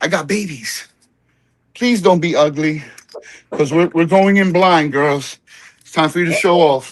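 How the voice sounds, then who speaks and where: An American-accented man talks at a high pitch and a fairly slow pace, with long, frequent pauses. His loudness swings a lot. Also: ordinary pitch variation. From New Jersey. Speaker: home cannabis grower. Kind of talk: casual chat. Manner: casual, profane.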